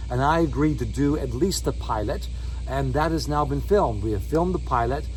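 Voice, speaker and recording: With music in the background and audible room echo, a man speaks fairly quickly in a very deep, low voice with monotone, flat intonation. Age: 60s. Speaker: solo sailor and video blogger. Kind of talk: casual vlog update. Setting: outdoors by his boat.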